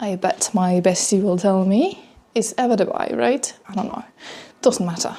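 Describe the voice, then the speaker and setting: At a moderate pace, a woman speaks with a dark, mellow tone at medium pitch and ordinary pitch variation. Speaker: vlogger. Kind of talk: casual personal vlog monologue.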